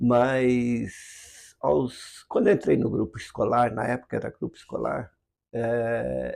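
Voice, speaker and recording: A man talks very slowly on a very clean recording with a silent background. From interior of São Paulo state, Brazil. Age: 60s. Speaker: filmmaker and producer. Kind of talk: interview, personal storytelling. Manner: hesitant, with many fillers.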